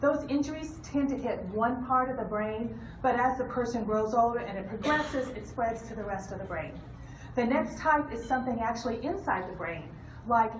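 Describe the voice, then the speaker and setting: Room echo and background noise are both noticeable here. A woman speaks at a fairly high pitch with ordinary pitch variation. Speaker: hospice nurse. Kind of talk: educational talk. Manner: fast; animated.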